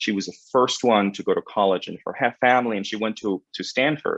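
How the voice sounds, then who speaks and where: A man at a fairly low pitch, talking at a fairly quick pace with ordinary pitch variation. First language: Spanish. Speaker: credit union executive. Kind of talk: panel webinar conversation.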